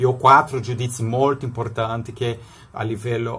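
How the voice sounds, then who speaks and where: At a moderate pace, a man talks with a non-native accent. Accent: foreign-tinged Italian. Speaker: political promoter and salesman; interviewee commentator. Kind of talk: video monologue. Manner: halting, with many repetitions. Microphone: phone near.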